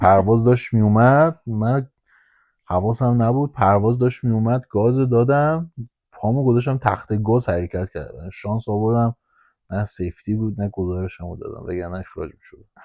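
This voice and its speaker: Loudness swings widely as the voice moves at a moderate pace with a Hamadani accent and ordinary pitch variation. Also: man, medium pitch for a man. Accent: Hamadani Persian. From Iran, Hamadan. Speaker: airport ramp agent. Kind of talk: casual guided tour while driving. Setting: in a vehicle at the airport.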